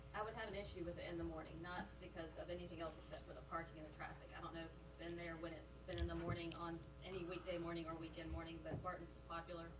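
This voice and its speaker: Noticeable background noise and audible room echo surround a woman talking at a very fast pace. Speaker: planning commissioner. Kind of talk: public meeting discussion. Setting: city planning commission meeting. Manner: loud.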